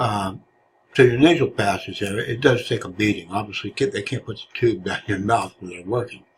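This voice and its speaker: A man speaks at a fairly quick pace in a somewhat breathy voice, with big swings in loudness. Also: medium pitch for a man, ordinary pitch variation. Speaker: patient sharing his surgery experience. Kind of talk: personal vlog narration. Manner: halting, many filler words.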